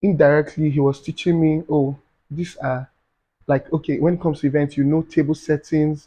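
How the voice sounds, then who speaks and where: A man speaks with monotone, flat intonation. His voice is somewhat breathy. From Nigeria. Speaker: event planner. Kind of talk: podcast interview answer.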